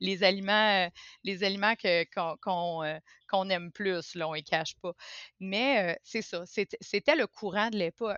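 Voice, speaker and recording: Her pace fairly slow, a woman speaks at a medium pitch with ordinary pitch variation. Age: 40s. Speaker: podcast guest sharing personal experience. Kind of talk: casual interview conversation. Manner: halting, many hesitations and repetitions.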